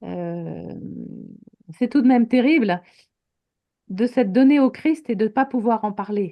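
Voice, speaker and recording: A woman's dark, mellow voice in a French accent, with ordinary pitch variation and long, frequent pauses. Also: fairly high pitch for a woman, moderate pace. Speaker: teacher and author. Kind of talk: interview in French.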